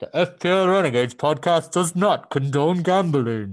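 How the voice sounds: Putting on a character voice, a man uses a fairly high pitch and lively intonation at a moderate pace against a quiet background.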